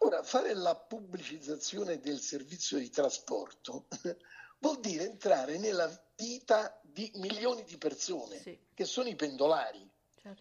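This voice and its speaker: At a fairly slow pace, a man with a high pitch speaks with very wide pitch swings and big swings in loudness. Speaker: former TV network director and politician. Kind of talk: interview. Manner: halting.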